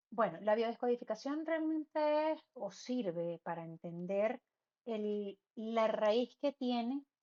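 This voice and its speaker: Fairly high in pitch, a woman talks with lively intonation and a Venezuelan accent. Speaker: medium and spiritual guide. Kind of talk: interview conversation. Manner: fast; halting.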